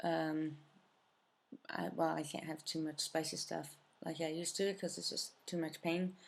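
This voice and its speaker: A woman with a very deep, low pitch speaks in a monotone, flat way, leaving long, frequent pauses. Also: moderate pace. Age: 30s. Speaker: cancer survivor vlogger. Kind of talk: personal video update. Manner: hesitant, many fillers.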